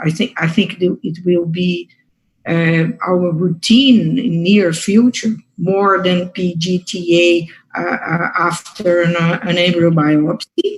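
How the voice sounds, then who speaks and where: Speaking very slowly with a Portuguese accent, a woman uses a fairly low, somewhat breathy voice with ordinary pitch variation. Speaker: fertility doctor. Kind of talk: academic discussion. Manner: halting.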